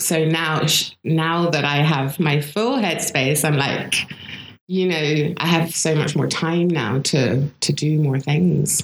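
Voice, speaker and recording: Over noticeable background noise, a woman with a very deep, low voice speaks at a very slow pace, her loudness very even and her pitch variation ordinary. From south of France (raised there by British parents). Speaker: photographer and filmmaker. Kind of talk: casual interview chat.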